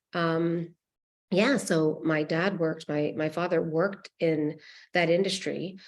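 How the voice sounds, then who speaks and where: Against a quiet background, a woman uses an ordinary speaking voice, fairly low in pitch and fairly even in intonation. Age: 50s. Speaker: nonprofit founder. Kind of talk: panel discussion.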